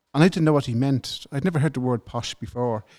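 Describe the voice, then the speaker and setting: The man's pitch sits in the medium range, with ordinary pitch variation. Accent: Dublin. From Ireland, north Dublin. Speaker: government whistleblower. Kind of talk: interview.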